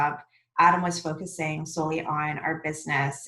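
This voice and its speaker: A soft-spoken woman with a very deep, low pitch talks in a monotone, flat way. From Mississauga, Ontario, Canada. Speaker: restaurant co-owner. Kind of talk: podcast interview answer.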